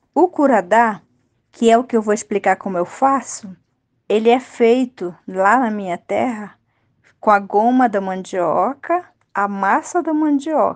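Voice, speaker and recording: Over a quiet background, a woman with an unremarkable speaking voice talks at a fairly slow pace, her fairly high pitch carrying lively intonation. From Rio Negro region, Amazonas, Brazil. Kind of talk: recipe explanation.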